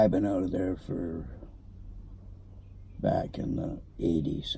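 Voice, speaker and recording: A man with a very deep, low pitch speaks at a very slow pace with fairly even intonation, and room echo is audible. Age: 80s+. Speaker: retired car dealer. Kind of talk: casual chat.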